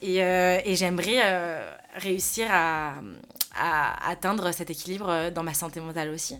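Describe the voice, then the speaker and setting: A woman speaks at a very slow pace and fairly low pitch, with fairly even intonation. Audible room echo can be heard. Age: 20s. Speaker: influencer talent manager. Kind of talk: casual chat.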